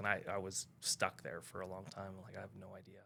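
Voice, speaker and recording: This man has a fairly low pitch and a bright, sharp tone, with a Western Canadian accent. He speaks at a fairly quick pace. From Canada, North Vancouver. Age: 50s. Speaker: real estate agent. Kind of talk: casual podcast interview.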